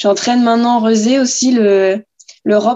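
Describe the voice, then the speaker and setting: A woman's dark, mellow tone, fairly even intonation and fairly slow pace. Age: 20s. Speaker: inline speed skater. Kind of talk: interview. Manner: hesitant, many fillers.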